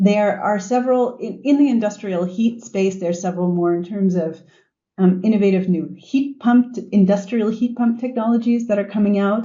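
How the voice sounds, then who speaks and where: A woman with an American accent speaks at a medium pitch and a moderate pace. Her voice is somewhat breathy, with ordinary pitch variation. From US. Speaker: sustainability executive. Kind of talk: podcast interview. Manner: animated.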